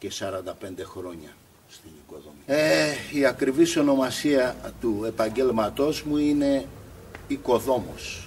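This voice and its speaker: A man's medium-pitched voice at a fairly slow pace. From Greece, Spetses island. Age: 60s. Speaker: builder and pebble mosaic craftsman. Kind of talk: interview. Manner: hesitant, with fillers.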